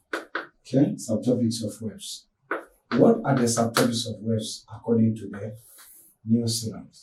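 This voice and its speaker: A somewhat breathy voice with fairly even intonation and big swings in loudness. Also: man, medium pitch for a man. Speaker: physics teacher. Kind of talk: lecture. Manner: fast; halting.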